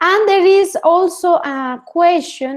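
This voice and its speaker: Lively intonation marks this woman's speech. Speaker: English speaking tutor. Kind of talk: online class instruction.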